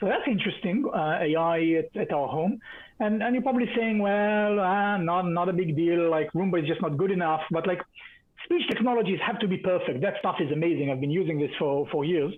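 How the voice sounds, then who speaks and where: The speaker talks at a fairly quick pace with an Israeli accent. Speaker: tech conference speaker. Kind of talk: keynote talk. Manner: many fillers and repetitions.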